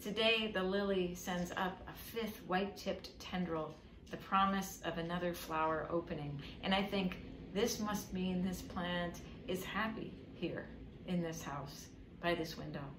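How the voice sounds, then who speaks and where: Amid noticeable background noise, a woman speaks slowly-ish at a fairly low pitch with fairly even intonation, keeping a fairly slow pace. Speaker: poet and author reading her own book. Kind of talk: poetry reading.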